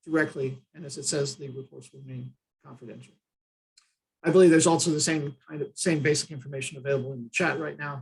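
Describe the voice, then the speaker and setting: A somewhat breathy voice with an American accent, moving at a fairly quick pace. The intonation stays fairly even. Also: man. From United States. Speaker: trainer, disaster management consultant. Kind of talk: online training session. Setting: Zoom video call. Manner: fast; hesitant, many filler uhs.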